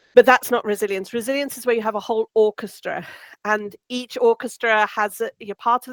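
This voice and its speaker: A woman's fairly high voice at a moderate pace, dry and close with no echo. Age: old. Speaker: resilience researcher. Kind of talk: webinar talk. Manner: loud; hesitant, many fillers.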